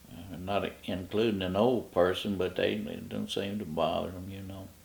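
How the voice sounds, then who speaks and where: A man talks at a moderate pace with a very deep, low pitch and vocal fry. His intonation is fairly even, but his loudness swings a lot. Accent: Kentucky. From Kentucky. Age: 80s+. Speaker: retired park ranger. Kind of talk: oral history interview. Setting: at home. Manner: halting.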